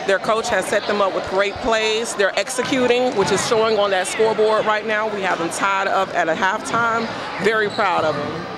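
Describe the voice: A woman at medium pitch with fairly even intonation and few pauses, amid clear crowd noise in the background and clear background noise. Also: moderate pace.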